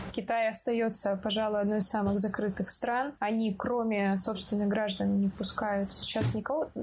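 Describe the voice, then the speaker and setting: A woman speaks at a moderate pace in a medium pitch, with fairly even intonation, very even loudness and hardly any pauses. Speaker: podcast host. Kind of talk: casual chat.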